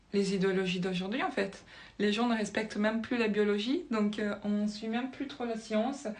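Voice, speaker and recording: A woman's fairly high voice with ordinary pitch variation, at a moderate pace, amid audible room echo. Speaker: spiritual video creator. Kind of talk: casual monologue to camera, explaining with drawings. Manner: hesitant, many fillers and restarts.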